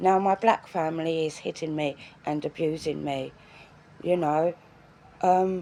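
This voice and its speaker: Her intonation fairly even, a woman speaks in a fairly low pitch. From England. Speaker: vlogger. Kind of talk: personal video diary. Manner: halting.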